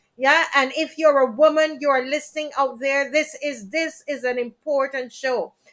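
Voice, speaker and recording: A woman with a Jamaican accent speaks at a high pitch in a bright, sharp tone with fairly even intonation. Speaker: talk show host. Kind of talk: live stream talk show. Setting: live stream.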